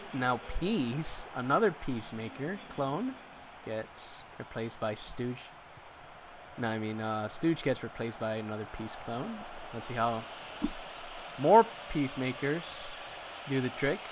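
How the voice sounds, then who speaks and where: Noticeable background noise sits behind a man with a medium pitch and ordinary pitch variation. He talks at a fairly slow pace with long, frequent pauses. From Mexico. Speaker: gaming commentator. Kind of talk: live commentary. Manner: animated.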